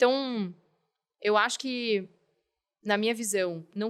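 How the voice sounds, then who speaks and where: A woman with a normal speaking voice talks at medium pitch with fairly even intonation. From Curitiba, southern Brazil. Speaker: company health director, physician. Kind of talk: podcast interview.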